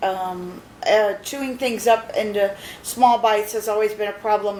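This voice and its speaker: Spoken at a fairly slow pace, the clip carries noticeable background noise. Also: woman. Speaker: patient sharing dental experience. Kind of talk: personal video diary. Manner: halting, many fillers.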